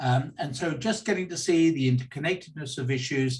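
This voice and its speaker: Somewhat breathy, a man talks at a medium pitch and a moderate pace. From London, England. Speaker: academic and think tank member. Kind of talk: interview.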